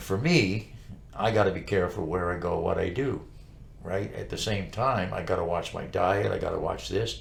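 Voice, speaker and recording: A man talks at a moderate pace, his words carrying audible room echo. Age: 70s. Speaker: talk show co-host. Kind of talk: casual chat. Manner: animated.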